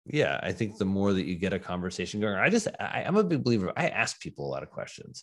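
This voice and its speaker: A man's fairly low-pitched voice at a fairly quick pace, a plain, everyday voice on a very clean recording with a silent background. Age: 40s. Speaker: psychiatrist. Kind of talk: interview conversation.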